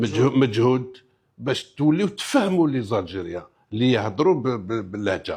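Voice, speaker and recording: Somewhat breathy, a man speaks at a moderate pace. His pitch swings very widely. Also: medium pitch for a man. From Algeria. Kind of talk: interview answer mixing French.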